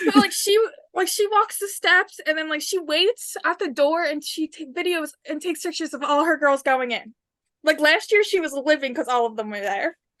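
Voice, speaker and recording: Loud and extremely high-pitched, a woman talks at a moderate pace. Her tone is bright and sharp, her intonation lively. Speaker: podcast co-host. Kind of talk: casual chat.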